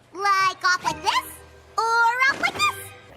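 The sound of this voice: With faint music in the background, a woman does a squeaky, cartoonish character voice at an extremely high pitch and a fairly slow pace.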